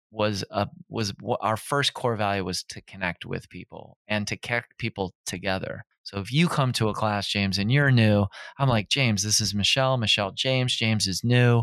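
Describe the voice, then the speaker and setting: A man with an American accent and an unremarkable speaking voice, fairly low in pitch, at a moderate pace with fairly even intonation. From Minnesota. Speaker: fitness trainer and gym owner. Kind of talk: casual interview.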